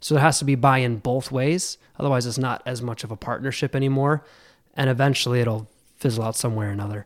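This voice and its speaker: A medium-pitched man with an American accent talks at a very fast pace with fairly even intonation, on a very clean recording with a silent background. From western New York (Buffalo area). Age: 20s. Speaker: insurance sales executive. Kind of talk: casual interview chat. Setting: studio.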